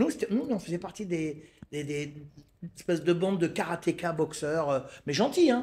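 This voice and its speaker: A man's somewhat breathy voice comes through on a very clean recording against a silent background. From Paris suburbs, France (La Courneuve, Seine-Saint-Denis). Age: 60s. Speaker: Muay Thai coach. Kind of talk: casual interview. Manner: animated, repeats words when starting.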